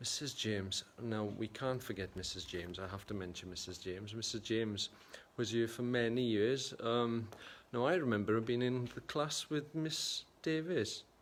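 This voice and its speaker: A man in a South Welsh accent speaks at a moderate pace with a medium pitch and ordinary pitch variation. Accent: south Wales Welsh English. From Wales, Gwendraeth Valley. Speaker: photographer and livestream host. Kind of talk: casual livestream chat reading viewer comments. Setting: livestream from a primary school.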